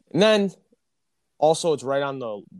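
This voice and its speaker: Against a quiet background, a man with an American accent talks at a moderate pace. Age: young. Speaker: sports podcast host. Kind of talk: casual chat. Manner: animated.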